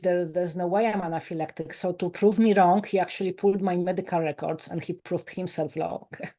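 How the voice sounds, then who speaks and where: A woman with a Polish accent, her tone dark and mellow, medium in pitch, at a fairly quick pace. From Poland. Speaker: life coach and author. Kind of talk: podcast interview. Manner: animated.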